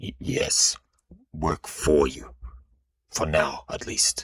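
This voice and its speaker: A man's put-on character voice at a very slow pace. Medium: read story. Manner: controlled, proud.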